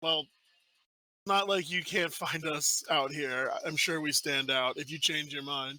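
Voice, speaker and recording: On a very clean recording with a silent background, a man does a raspy put-on character voice at a fairly high pitch, talking at a fairly slow pace with fairly even intonation. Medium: actual play. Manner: formal, measured.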